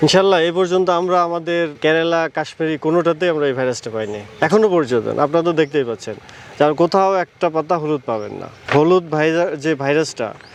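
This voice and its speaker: The speaker uses ordinary pitch variation while noticeable background noise plays underneath. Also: man, fairly high pitch for a man. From Natore, Bangladesh. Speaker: bean farmer. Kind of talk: interview. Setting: outdoors in a crop field.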